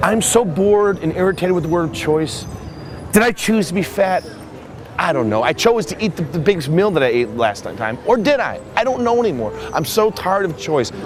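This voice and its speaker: A man's high voice at a fairly quick pace, very wide pitch swings, noticeable background noise. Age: 40s. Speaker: artist and musician. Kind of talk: interview.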